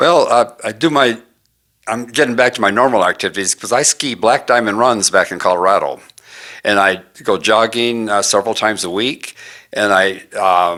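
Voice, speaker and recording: A man speaks at medium pitch in a bright, sharp tone, at a moderate pace with ordinary pitch variation. The recording is very clean with a silent background. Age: 80s+. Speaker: patient giving testimonial. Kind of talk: interview testimony.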